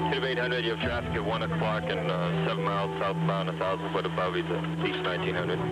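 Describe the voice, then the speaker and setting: The speech runs at a very fast pace with very even loudness. Music plays in the background. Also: man. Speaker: air traffic controller. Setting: radio.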